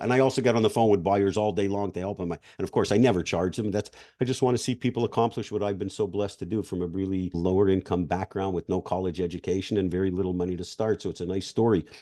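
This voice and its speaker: A man's very deep, low-pitched voice, dark and mellow in tone, at a very fast pace. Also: quiet background. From Canada, Montreal. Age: 60s. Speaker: business acquisitions expert. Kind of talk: interview.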